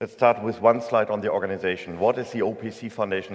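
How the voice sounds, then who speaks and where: In a German accent, a man speaks with a fairly low pitch. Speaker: tech association executive, keynote speaker. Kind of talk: conference keynote. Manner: hesitant with fillers.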